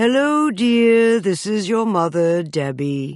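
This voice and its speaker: At a fairly slow pace, a woman does a put-on character voice with very wide pitch swings. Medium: read story. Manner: gracious, genteel.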